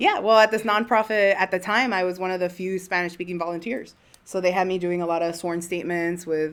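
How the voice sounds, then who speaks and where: With a fairly low pitch, a woman talks at a fairly quick pace with hardly any pauses. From Miami, Florida (Cuban American). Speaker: immigration lawyer, podcast co-host. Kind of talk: casual chat. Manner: animated.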